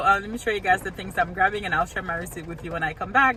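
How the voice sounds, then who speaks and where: A woman with a Haitian accent, medium pitch and lively intonation. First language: Haitian Creole. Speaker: couponing vlogger. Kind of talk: casual vlog.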